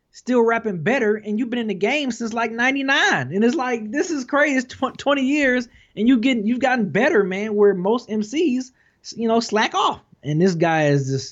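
An American-accented man talks at a moderate pace with a high pitch. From Detroit. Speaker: hip hop YouTuber. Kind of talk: casual chat.

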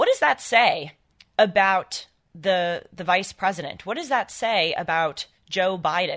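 At a fairly slow pace, a woman speaks with medium pitch, ordinary pitch variation and a bright, sharp tone. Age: 20s. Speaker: guest radio host and political commentator. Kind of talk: talk radio monologue.

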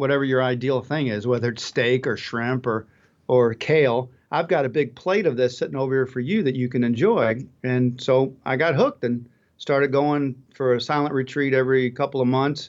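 At medium pitch, a man keeps a moderate pace. His pitch variation is ordinary. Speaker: author and traveler. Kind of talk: casual interview conversation. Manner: authentic, straightforward speaker.

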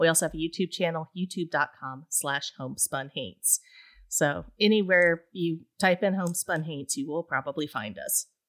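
Someone with an Appalachian accent speaks at a moderate pace with ordinary pitch variation, in a very clean recording with a silent background and a dry, close sound with no echo. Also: woman, fairly low pitch for a woman. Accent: Appalachian US Southern. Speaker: podcast host, ghost story podcaster. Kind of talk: casual chat.

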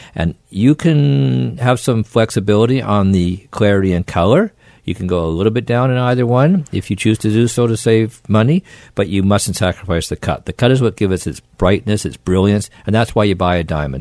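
A man's plain, everyday voice, fairly low in pitch, with lively intonation at a fairly quick pace. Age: 60s. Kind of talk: casual radio interview. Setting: studio.

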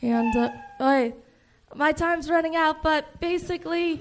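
A woman talks fairly slowly against noticeable background noise. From Chicago. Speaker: comedian. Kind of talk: stand-up. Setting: stage with audience. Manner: monotone.

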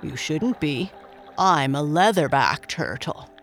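A man puts on a gruff character voice. His pitch sits fairly high. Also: fairly slow pace. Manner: pleasant, genial.

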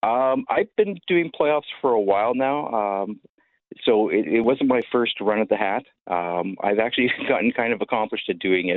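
A man speaks with a Canadian accent at a moderate pace. His medium pitch shows ordinary variation. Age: 50s. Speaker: youth baseball coach and volunteer. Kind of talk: radio interview. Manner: hesitant, with many fillers.

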